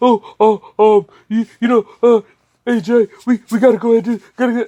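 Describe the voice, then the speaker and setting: The speaker uses a put-on character voice. The pitch sits fairly high. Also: moderate pace. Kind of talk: casual, filler-heavy. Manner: hesitant, stammering, flustered.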